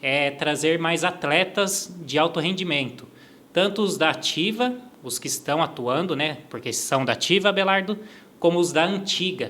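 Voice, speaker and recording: High-pitched male speech, its pitch varying in an ordinary way. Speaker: podcast host. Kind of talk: interview podcast. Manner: fast.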